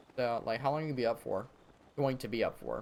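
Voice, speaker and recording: A man talks at a very fast pace. His pitch moves with ordinary variation. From US South, Virginia. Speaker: video game streamer. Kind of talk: live gameplay stream chat. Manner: casual, many fillers and restarts.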